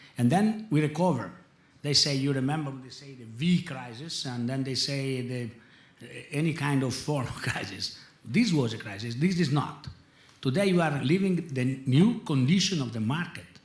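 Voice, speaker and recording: A man with an Italian accent speaks at a moderate pace and fairly high pitch, his intonation lively and his loudness swinging widely, with audible room echo and noticeable background noise. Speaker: industry executive. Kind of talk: panel discussion. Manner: halting.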